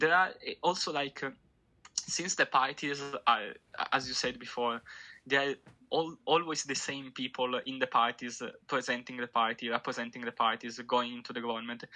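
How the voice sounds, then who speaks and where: A man with an Italian accent speaks at a medium pitch with fairly even intonation. He leaves long, frequent pauses. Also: moderate pace. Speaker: political commentator. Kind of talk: casual chat. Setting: remote call.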